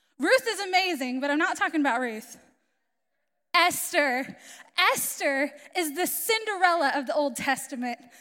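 A woman with an American accent speaks in a raised, projected voice at a high pitch, with a bright, sharp tone and lively intonation. Her pace is moderate with long, frequent pauses, on a very clean recording with a silent background. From Florida, US. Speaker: missionary. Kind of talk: sermon. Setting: church with audience.

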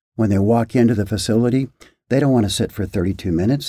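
This man's voice is somewhat breathy, with a dark, mellow tone. He talks at a fairly quick pace with ordinary pitch variation. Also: very clean recording, silent background. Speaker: physician. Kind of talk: interview.

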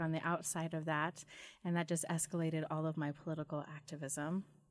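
With an American accent, a woman speaks at a fairly quick pace. Her voice is fairly low, and her intonation is monotone and flat. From Idaho, Wilder. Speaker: LGBT rights activist. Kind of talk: casual chat. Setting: studio.

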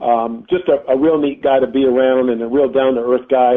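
Speaking at a medium pitch and a moderate speed, the man has a normal speaking voice. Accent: American. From North Carolina, High Point. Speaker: tennis director and coach. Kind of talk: interview.

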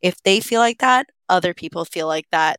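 Over a silent background in a very clean recording, a woman speaks in a normal speaking voice at a moderate pace, medium in pitch with ordinary pitch variation, the sound dry and close with no echo. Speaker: podcast host. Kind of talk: media recommendations.

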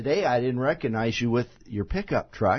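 Lively intonation marks this man's somewhat breathy, medium-pitched voice. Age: 60s. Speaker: real estate radio show host. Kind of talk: radio talk show interview. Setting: radio studio.

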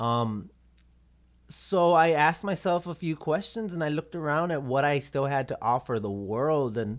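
On a very clean recording with a silent background, a man with an American accent and a fairly high pitch makes very wide pitch swings. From South Texas, Robstown near Corpus Christi. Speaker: visual artist. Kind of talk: casual interview.

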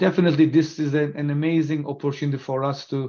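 In a quiet background, a man with a plain, everyday voice and a fairly high pitch speaks at a fairly quick pace. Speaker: company CEO and innovation officer. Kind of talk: interview.

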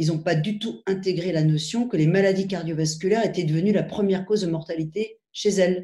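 This woman's voice is somewhat breathy with a dark, mellow tone, moving at a moderate pace with ordinary pitch variation. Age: 50s. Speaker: cardiology professor. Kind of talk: interview.

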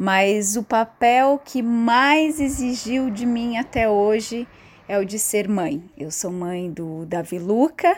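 A woman speaks at a very slow pace with a fairly high pitch. Her intonation is lively. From Santa Catarina, Brazil. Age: 30s. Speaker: theatre director and writer. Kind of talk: prepared statement.

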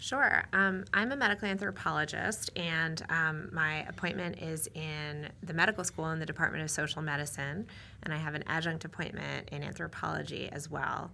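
This woman's voice is very deep and low, with vocal fry and a bright, sharp tone. She speaks with hardly any pauses. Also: ordinary pitch variation, moderate pace. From New England. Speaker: medical anthropologist, professor. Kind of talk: interview.

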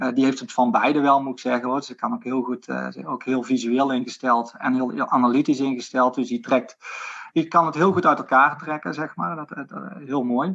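Ordinary pitch variation and a moderate pace from a man at a medium pitch. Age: 40s. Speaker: sports physiotherapist. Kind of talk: interview conversation. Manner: halting, many fillers.

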